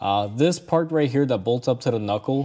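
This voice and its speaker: A man's dark, mellow voice at a moderate pace. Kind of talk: tutorial commentary. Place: workshop. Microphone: phone near.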